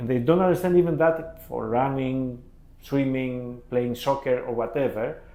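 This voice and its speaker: Over audible room echo, a man with a Greek accent speaks at a moderate pace, at medium pitch with ordinary pitch variation. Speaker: podcast host. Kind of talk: interview. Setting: office. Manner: halting.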